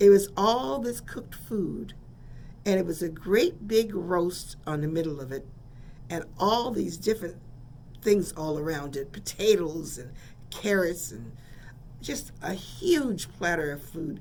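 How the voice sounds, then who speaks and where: In an American accent, a woman with a fairly low pitch speaks fairly slowly with long, frequent pauses, lively intonation and big swings in loudness, amid audible room echo. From San Francisco, California. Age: 70s. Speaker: radio host. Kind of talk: radio storytelling. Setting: radio studio.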